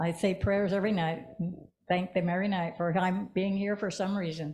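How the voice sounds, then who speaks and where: A woman's somewhat breathy, medium-pitched voice, monotone and flat, at a fairly quick pace. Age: 80s+. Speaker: congregation member. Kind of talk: testimony.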